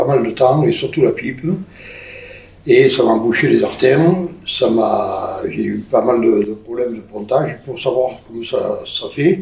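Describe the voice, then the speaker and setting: A man at a fairly slow pace with long, frequent pauses, plus noticeable background noise. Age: 70s. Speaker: amputee interviewee. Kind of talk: interview. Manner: halting. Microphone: poor sound quality.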